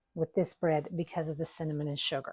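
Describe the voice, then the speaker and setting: A woman with a Southern US accent, recorded with a dry, close sound and no echo. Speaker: home baking video host. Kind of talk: cooking tutorial. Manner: casual, folksy.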